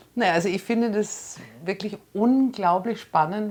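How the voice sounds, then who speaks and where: Female voice at medium pitch with a German accent, ordinary pitch variation and a fairly slow pace. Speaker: friend of the comedian. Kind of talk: interview. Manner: halting.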